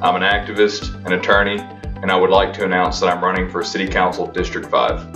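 Clear music plays in the background. A man talks in a very deep, low voice with monotone, flat intonation. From Memphis, Tennessee. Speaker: attorney and political candidate. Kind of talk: political campaign announcement. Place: home room. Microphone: camera far.

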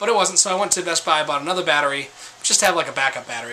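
Light background noise sits behind a man's voice. His pitch varies in an ordinary way. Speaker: vlogger. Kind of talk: casual vlog chat. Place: home room. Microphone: phone near.

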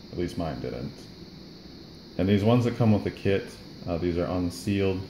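Over noticeable background noise, a man speaks in a dark, mellow tone with vocal fry and ordinary pitch variation. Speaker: RC car hobbyist. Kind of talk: casual how-to tutorial. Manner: mumbly. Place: workshop. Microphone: phone near.

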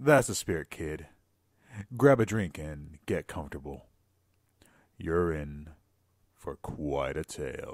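A gruff, rumbling put-on character voice with lively intonation moves at a fairly slow pace with long, frequent pauses on a very clean recording with a silent background. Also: man, very deep, low pitch for a man. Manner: wry, chuckling.

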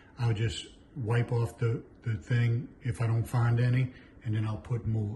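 A somewhat breathy male voice over light background noise. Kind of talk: tutorial. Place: kitchen.

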